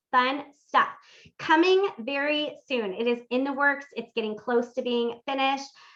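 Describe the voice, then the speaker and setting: A woman's voice has a bright, sharp tone. Her pitch varies in an ordinary way. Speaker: workshop host and life coach. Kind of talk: live-streamed interactive workshop. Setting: live stream. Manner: fast; animated.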